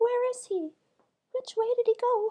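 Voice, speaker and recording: Squeaky and put on, this character voice moves at a moderate pace. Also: woman. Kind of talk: bedtime story. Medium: read story. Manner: earnest, explanatory storytelling.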